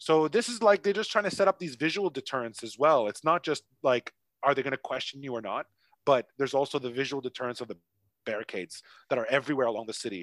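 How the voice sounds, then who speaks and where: Spoken very fast with lively intonation and a Canadian accent, the voice has a dry, close sound with no echo on a very clean recording with a silent background. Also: man, fairly high pitch for a man. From Toronto, Canada. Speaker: English teacher and expat. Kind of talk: casual chat.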